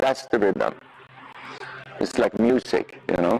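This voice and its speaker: A man with a Swedish accent, noticeable background noise. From Sweden. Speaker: riding instructor. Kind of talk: clinic lesson teaching. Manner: halting, many fillers.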